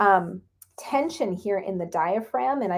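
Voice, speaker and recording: A woman talks with ordinary pitch variation in a very clean recording over a silent background. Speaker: acupuncture teacher. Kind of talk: tutorial. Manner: casual with many fillers.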